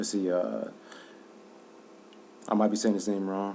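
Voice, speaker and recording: This man has a fairly low voice. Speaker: basketball commentator. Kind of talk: casual sports commentary.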